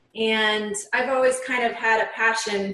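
A woman speaks fairly slowly with a fairly high pitch. Her pitch varies normally, and she has a slight Upper Midwest accent. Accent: Upper Midwest, slight Canadian-like twinge. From Upper Peninsula, Michigan. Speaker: nurse and author. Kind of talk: interview about her experience and book.

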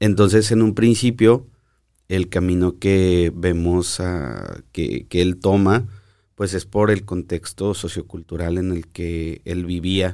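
A man speaks very slowly in a very deep, low voice with a dark, mellow tone and fairly even intonation. The recording is very clean, with a silent background. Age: 30s. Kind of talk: casual chat. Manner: halting.

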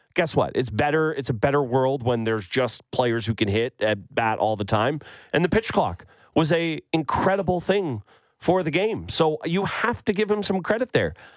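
In a Canadian accent, a man speaks at a moderate pace with a fairly high pitch and very wide pitch swings. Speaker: sports radio co-host. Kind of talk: casual chat. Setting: studio. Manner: animated.

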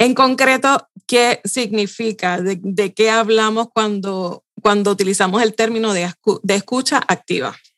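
A woman speaks in an ordinary speaking voice, fairly high in pitch with ordinary pitch variation. Her pace is fairly slow, and the sound is dry and close with no echo. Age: 40s. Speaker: communication strategist and podcast host. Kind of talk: interview.

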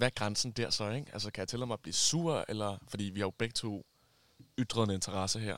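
He has an ordinary speaking voice. The man's medium pitch comes at a fairly quick pace. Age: 20s. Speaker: friend of the hosts. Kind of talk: casual chat. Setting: summer house.

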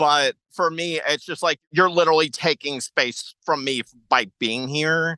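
Speaking with hardly any pauses in an American accent, a man talks at a fairly slow pace and fairly high pitch in a bright, sharp tone, recorded with a dry, close sound with no echo. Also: fairly even intonation, quiet background. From small-town Texas. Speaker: caller seeking advice. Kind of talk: casual chat.

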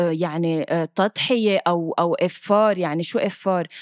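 A woman with a Lebanese accent sounds animated, recorded with a dry, close sound with no echo. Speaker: podcast co-host. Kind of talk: casual chat.

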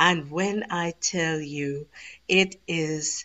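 A woman with a Trinidadian accent speaks with ordinary pitch variation. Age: 40s. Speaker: stage and TV actress. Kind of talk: interview. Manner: energetic.

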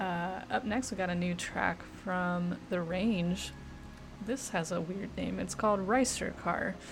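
Over music in the background, a woman speaks at a fairly slow pace with medium pitch and ordinary pitch variation. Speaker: radio DJ. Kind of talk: radio DJ patter between songs, announcing tracks and artists. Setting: radio studio broadcast. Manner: casual, laid-back, filler-heavy with frequent 'uh' and self-corrections.

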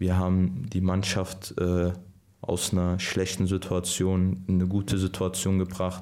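A man speaks very slowly in a very deep, low voice with a dark, mellow tone and flat, monotone intonation. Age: 20s. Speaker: professional footballer. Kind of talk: casual interview.

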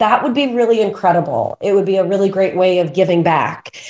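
With an American accent, a woman talks in an unremarkable speaking voice at medium pitch, with ordinary pitch variation. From Pennsylvania, US. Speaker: public speaking coach. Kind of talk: interview.

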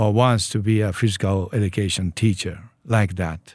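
On a very clean recording with a silent background, a man with a Japanese accent and a fairly low pitch speaks at a fairly slow pace. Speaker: church leader. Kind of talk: interview. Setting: studio. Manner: halting.

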